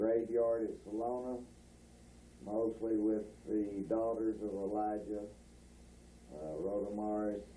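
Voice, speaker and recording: With a Texan accent, a man with a fairly low pitch and a dark, mellow tone speaks at a very slow pace with long, frequent pauses, and audible room echo surrounds him. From North Texas (Bowie area). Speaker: rancher recalling family history. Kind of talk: oral history interview. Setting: at home. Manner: halting, many filler words.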